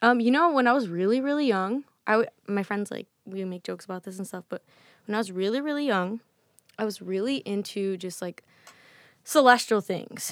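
A woman with an American accent talks at a fairly quick pace and medium pitch with ordinary pitch variation, recorded very cleanly against a silent background with a dry, close sound with no echo. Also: big swings in loudness. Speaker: musician and poet. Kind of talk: casual interview chat. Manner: fast and loud talker.

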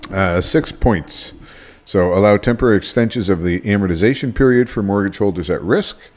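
The man has an unremarkable speaking voice, pitched fairly low. He talks at a fairly quick pace with ordinary pitch variation. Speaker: podcast host. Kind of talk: casual podcast banter.

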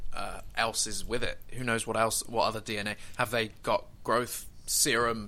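The speaker is a man with a British accent. He takes his words at a fairly slow pace. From Britain. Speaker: fan podcast host. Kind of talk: casual chat. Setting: online call.

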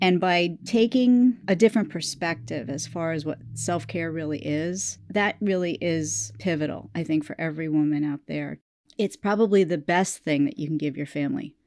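With an ordinary speaking voice, a woman talks at a fairly low pitch with lively intonation. Her pace is moderate, with hardly any pauses. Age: 50s. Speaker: podcast host, health coach. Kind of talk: interview; scripted narration.

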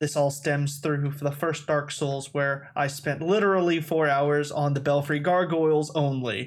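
An ordinary speaking voice at a fairly slow pace, hardly any pauses, fairly even intonation and very even loudness, in a very clean recording with a silent background. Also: man, fairly high pitch for a man. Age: 20s. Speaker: podcast co-host. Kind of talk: casual chat. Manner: laid-back, jokey.

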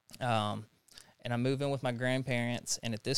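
A man talks at a moderate pace and with fairly even intonation on a very clean recording with a silent background. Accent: Tennessee. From US South, Jackson, Tennessee. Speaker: person in recovery from addiction. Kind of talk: interview testimony. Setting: studio.

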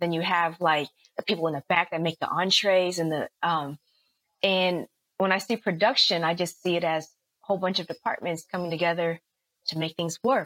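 Speaking fairly quickly with an American accent, a woman uses an unremarkable speaking voice, fairly low in pitch with fairly even intonation, in a dry, close sound with no echo. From US West Coast, San Francisco Bay Area. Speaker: actress and rapper. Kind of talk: casual interview.

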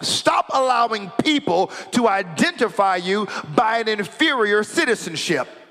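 A man speaks in a raised, projected voice, animated and lively in intonation, with a high pitch. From United States. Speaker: pastor. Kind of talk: sermon.

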